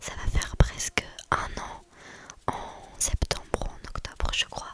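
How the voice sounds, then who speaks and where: A woman whispers, and background noise is noticeable. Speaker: ASMR creator, student. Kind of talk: ASMR whispered talk to camera. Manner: whispering, soft, chatty.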